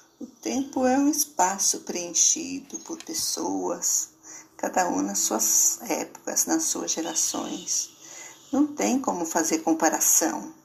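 A woman talks very slowly. Noticeable background noise sits behind her. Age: 70s. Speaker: poet and columnist. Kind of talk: reflective monologue. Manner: halting.

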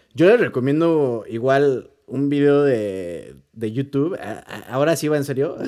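A man with a Mexican accent speaks at a fairly slow pace in a fairly high pitch. His tone is dark and mellow, with ordinary pitch variation. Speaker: podcast co-host. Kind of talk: casual chat.

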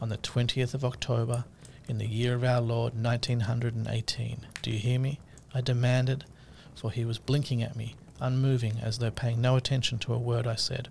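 Monotone with flat intonation, a man speaks at medium pitch and moderate pace in a somewhat breathy voice. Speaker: podcast host. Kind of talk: podcast monologue with a story reading segment. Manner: casual, conversational, with hesitations.

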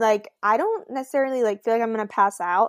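A woman's normal speaking voice, fairly high in pitch with ordinary pitch variation, dry and close with no echo, over a quiet background. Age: 20s. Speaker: podcast co-host. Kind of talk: casual chat. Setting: video recording from her bedroom.

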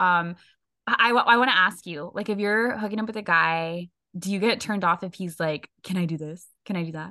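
A plain, everyday voice moves at a fairly quick pace with ordinary pitch variation and big swings in loudness. The background is quiet. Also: woman, medium pitch for a woman. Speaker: podcast co-host. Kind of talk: casual chat.

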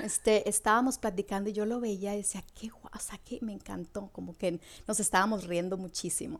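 A woman with an ordinary speaking voice talks at a fairly quick pace, her medium pitch held in fairly even intonation. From northwestern Mexico, Hermosillo, later Morelia. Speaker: Mexican immigrant. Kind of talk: casual interview.

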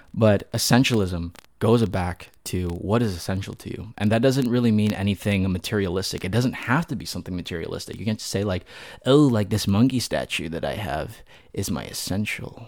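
A man with a normal speaking voice talks at a fairly quick pace and a fairly low pitch, with ordinary pitch variation. The recording is very clean, with a silent background. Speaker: podcast host. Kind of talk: casual, conversational.

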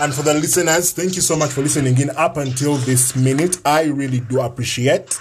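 A fairly high-pitched man speaks at a fairly quick pace with hardly any pauses, very even loudness, fairly even intonation and a somewhat breathy voice. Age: 20s. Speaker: podcast host. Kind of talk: casual chat.

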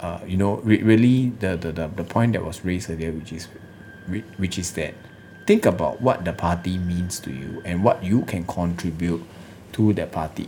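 This man has a very deep, low pitch. His pitch varies in an ordinary way. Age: 30s. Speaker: lawyer and political party leader. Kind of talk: political interview. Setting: studio.

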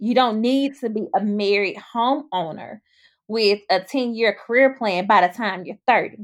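A woman talks at a fairly slow pace in a Mississippi accent. The recording is very clean, with a silent background. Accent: US Southern (Mississippi). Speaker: podcast host. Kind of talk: casual chat.

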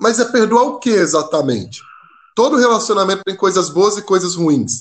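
A man's high-pitched voice at a fairly quick pace. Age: 20s. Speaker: seminarian and missionary. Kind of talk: casual chat.

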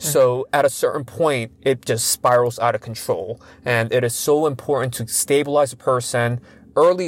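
At a fairly quick pace, a man talks at a medium pitch. He has an ordinary speaking voice. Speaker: psychiatry clinician and podcast co-host. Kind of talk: casual conversational podcast chat.

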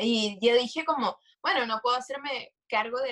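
A woman with a fairly high pitch uses an ordinary speaking voice, her pitch varying in an ordinary way. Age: 20s. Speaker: entrepreneur and law student. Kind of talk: casual chat.

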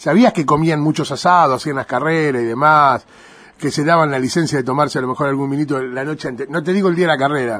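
A man's animated, fairly high voice at a very fast pace, with ordinary pitch variation. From Argentina, Buenos Aires province (Arrecifes). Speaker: radio host and stadium announcer. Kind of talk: interview; formal introduction.

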